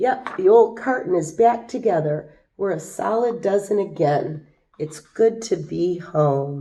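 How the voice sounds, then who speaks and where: A raspy, put-on character voice from a woman, medium in pitch and at a fairly slow pace. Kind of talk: children's picture book reading. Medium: read story.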